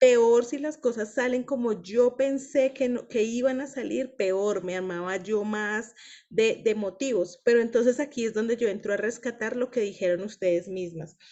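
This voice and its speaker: At a moderate pace and with hardly any pauses, a woman speaks at a fairly high pitch with ordinary pitch variation. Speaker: women's book club leader. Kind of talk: group discussion / teaching.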